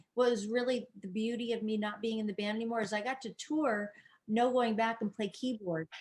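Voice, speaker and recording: A woman's fairly high voice, an unremarkable speaking voice, with ordinary pitch variation. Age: 60s. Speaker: musician. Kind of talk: casual chat.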